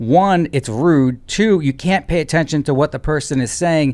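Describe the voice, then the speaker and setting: A man's fairly high voice at a moderate pace, with ordinary pitch variation, a normal speaking voice, and a very clean recording over a silent background. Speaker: lawyer, commentator. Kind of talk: reaction commentary. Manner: sarcastic.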